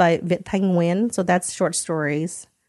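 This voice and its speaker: In a quiet background, a woman with an American accent and an ordinary speaking voice talks at a moderate pace in a medium pitch. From United States. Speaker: subscription box founder. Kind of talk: casual interview chat. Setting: in person.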